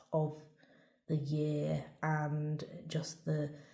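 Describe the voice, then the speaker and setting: This woman's voice is very deep and low, with a dark, mellow tone. It sounds somewhat breathy. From Merseyside, northern England. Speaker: tarot reader. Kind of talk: tarot reading with read-out guidebook passages. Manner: halting, with many fillers and repeats.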